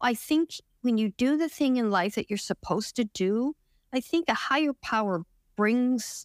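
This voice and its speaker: An unremarkable speaking voice at a fairly slow pace, dry and close with no echo, on a very clean recording with a silent background. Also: woman, very even loudness. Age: 60s. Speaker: retreat participant sharing recovery from depression. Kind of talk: interview testimony.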